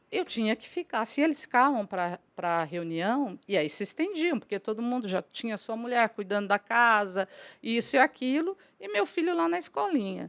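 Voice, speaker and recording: A woman at a fairly high pitch with very wide pitch swings and a moderate pace, in a dry, close sound with no echo and a very clean recording with a silent background. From Brazil, São Paulo state interior (São José do Rio Preto). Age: 60s. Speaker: businesswoman, franchise council president. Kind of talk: podcast interview, personal story.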